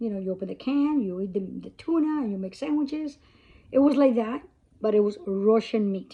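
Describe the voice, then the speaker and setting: Somewhat breathy, the woman's voice has a fairly high pitch and lively intonation. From Cuba. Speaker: vlogger. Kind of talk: casual talk to camera. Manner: halting.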